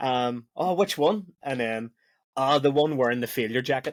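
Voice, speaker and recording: With a Belfast accent, a man talks at a medium pitch. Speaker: podcast host. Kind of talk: casual podcast chat.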